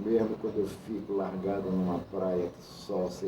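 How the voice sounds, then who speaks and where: In a room with audible echo and noticeable background noise, a man speaks fairly slowly in a very deep, low pitch with monotone, flat intonation. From Amazonas, Brazil. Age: 60s. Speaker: artist and art director. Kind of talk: interview.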